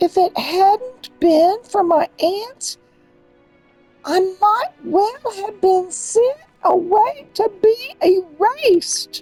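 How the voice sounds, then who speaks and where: With faint music in the background, a woman performs a put-on character voice at an extremely high pitch, speaking very slowly with lively intonation. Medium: game stream. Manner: soft, earnest.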